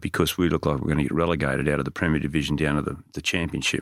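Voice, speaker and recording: A man speaks with an Australian accent. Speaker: strength and conditioning coach. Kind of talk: casual interview.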